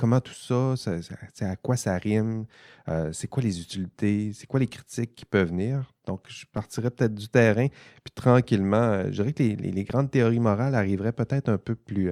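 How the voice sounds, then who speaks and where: With a Saguenay–Lac-Saint-Jean accent, a man speaks in a dark, mellow tone with ordinary pitch variation. He hardly pauses, and the sound is dry and close with no echo. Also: moderate pace, big swings in loudness. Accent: Saguenay-Lac-Saint-Jean Quebec French. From Quebec, Saguenay-Lac-Saint-Jean. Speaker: podcast host, ethics professor. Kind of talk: casual panel discussion. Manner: hesitant, many repetitions.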